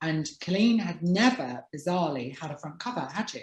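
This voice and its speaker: An unremarkable speaking voice from a woman, fairly low in pitch, at a fairly quick pace with lively intonation. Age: 40s. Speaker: talk show host and author. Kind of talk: casual chat.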